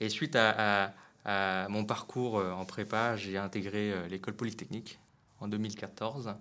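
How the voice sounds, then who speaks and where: Very slow and fairly low-pitched, the man speaks with fairly even intonation. Long, frequent pauses break up his speech. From Vietnam. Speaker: startup founder. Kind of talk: interview. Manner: halting, with many repetitions.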